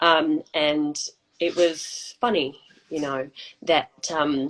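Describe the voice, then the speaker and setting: The woman's voice shows ordinary pitch variation. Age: 40s. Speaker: alcohol freedom coach. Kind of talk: personal testimony in interview. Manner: halting.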